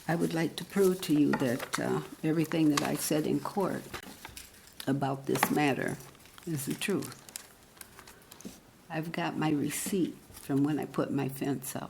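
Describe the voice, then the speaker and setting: Speech comes at a fairly slow pace with long, frequent pauses and ordinary pitch variation. Audible room echo and noticeable background noise surround it. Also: woman, very deep, low pitch for a woman. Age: 80s+. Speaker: resident speaking at public comment. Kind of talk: public comment at council meeting. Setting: city council meeting.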